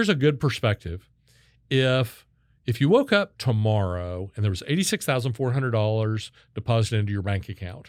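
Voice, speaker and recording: Talking at a fairly quick pace, a man has an unremarkable speaking voice, medium in pitch with ordinary variation and an American accent. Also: dry, close sound with no echo, very clean recording, silent background. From Kansas (Wichita). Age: 60s. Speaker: sales consultant and keynote speaker. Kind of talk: podcast interview.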